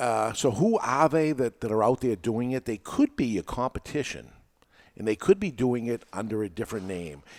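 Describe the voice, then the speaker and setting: In a New England accent, a man speaks at a moderate pace and medium pitch with lively intonation. The sound is dry and close, with no echo. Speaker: podcast host and teacher. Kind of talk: casual chat. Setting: studio with live audience.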